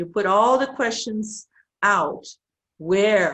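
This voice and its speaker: With a Brazilian Portuguese accent, a woman speaks very slowly at a fairly high pitch. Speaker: professor. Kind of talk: conference presentation. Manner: halting.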